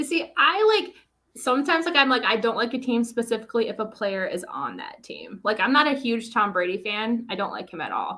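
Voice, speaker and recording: A bright, sharp woman's voice with a Minnesotan accent, fairly high in pitch and fairly quick, with lively intonation, big swings in loudness and hardly any pauses. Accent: Minnesota. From Minnesota, US Midwest. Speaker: author guest. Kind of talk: casual chat.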